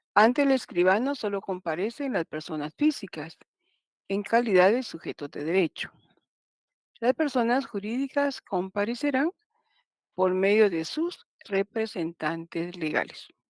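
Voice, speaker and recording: On a very clean recording with a silent background and a dry, close sound with no echo, a woman of medium pitch speaks at a fairly slow pace with very wide pitch swings. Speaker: law professor. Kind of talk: lecture.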